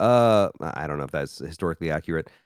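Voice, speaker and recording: The speaker has an American accent. The recording is very clean and silent behind, with a dry, close sound and no echo. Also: man. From US South, Memphis, Tennessee. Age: 30s. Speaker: podcast host. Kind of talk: casual chat.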